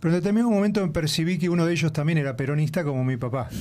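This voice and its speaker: A man with a Rioplatense accent. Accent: Argentine Rioplatense Spanish. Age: 60s. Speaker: left-wing political activist. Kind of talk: radio interview.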